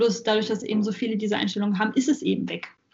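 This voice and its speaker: Her voice is somewhat breathy, and this woman speaks at a fairly high pitch with monotone, flat intonation. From Saxony-Anhalt, Germany. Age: 20s. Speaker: university student and supermarket worker. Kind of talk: casual chat. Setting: video call.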